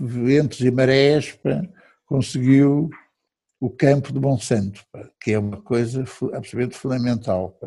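A man's medium-pitched, dark, mellow voice at a fairly slow pace, with ordinary pitch variation. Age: 70s. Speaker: retired economist and rugby club director. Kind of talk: interview.

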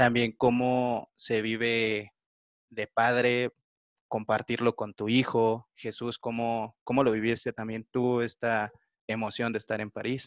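This man talks at a very slow pace and medium pitch, in a monotone with flat intonation. The sound is dry and close, with no echo. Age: 20s. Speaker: podcast host. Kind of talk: interview.

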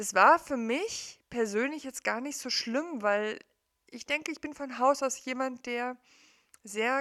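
Speaking at a very slow pace, a woman with a high voice has a bright, sharp tone and ordinary pitch variation. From East Germany. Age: 40s. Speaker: coach / podcaster. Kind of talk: personal monologue. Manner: conversational, with many fillers.

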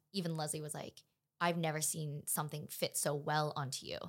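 Flat and monotone, a woman with an American accent speaks at a fairly low pitch on a very clean recording with a silent background. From Los Angeles, California. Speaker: actress. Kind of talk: casual chat.

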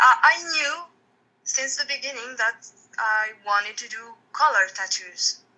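Delivered at a fairly slow pace, the raised, projected voice has a bright, sharp tone, ordinary pitch variation, and big swings in loudness. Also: woman, high pitch for a woman. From France. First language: French. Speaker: tattoo artist. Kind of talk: interview.

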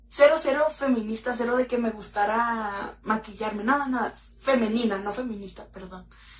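Speaking at a moderate pace with a fairly high pitch, a woman's voice carries audible room echo. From Mexico, Mexicali (Baja California). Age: 20s. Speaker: makeup content creator. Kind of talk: casual interview chat.

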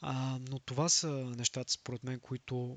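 Speaking dry and close with no echo, a man at medium pitch goes at a fairly slow pace with monotone, flat intonation. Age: young. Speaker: podcast host. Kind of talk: solo monologue podcast. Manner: halting, frequent filler sounds.

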